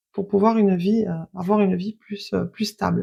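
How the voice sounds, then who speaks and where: A quiet woman's voice, medium in pitch, dark and mellow, with fairly even intonation on a very clean recording against a silent background. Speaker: tarot card reader. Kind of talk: card reading. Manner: hesitant.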